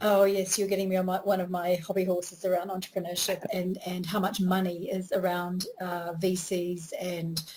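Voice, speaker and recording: A woman at medium pitch speaks with hardly any pauses and monotone, flat intonation. Noticeable background noise is present. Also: moderate pace. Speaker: interviewer, business coach. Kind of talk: interview host talk.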